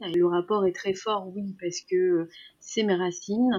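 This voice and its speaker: A woman's speech goes at a very slow pace and keeps fairly even intonation. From Iran. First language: Persian (speaking French). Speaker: makeup artist. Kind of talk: interview. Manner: halting, many repetitions.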